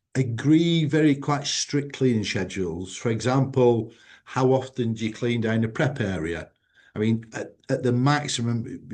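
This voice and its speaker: Against a quiet background, a man uses an ordinary speaking voice at a medium pitch with ordinary pitch variation. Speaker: food safety company president. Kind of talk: webinar presentation.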